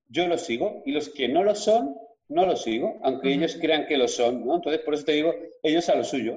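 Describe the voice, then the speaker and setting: A man with an ordinary speaking voice, pitched fairly high, talks at a fairly quick pace with lively intonation. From Spain, Villarreal (Castellón). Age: 40s. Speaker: fitness coach. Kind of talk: interview.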